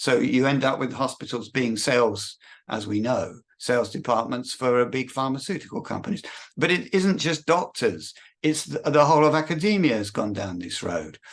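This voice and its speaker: Speaking at a moderate pace over a quiet background, a man with an English accent uses a medium pitch with very wide pitch swings and vocal fry. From Britain (England). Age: 60s. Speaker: religious prophecy video maker. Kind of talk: monologue. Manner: halting, many repetitions.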